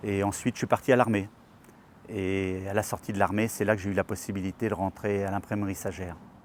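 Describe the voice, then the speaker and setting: A man with a fairly low pitch, talking at a fairly quick pace. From France, Perche region (Eure-et-Loir). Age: 60s. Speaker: retired craftsman, local election candidate. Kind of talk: filmed personal portrait, testimony. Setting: outdoors in front of the town hall. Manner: hesitant, with repetitions and fillers.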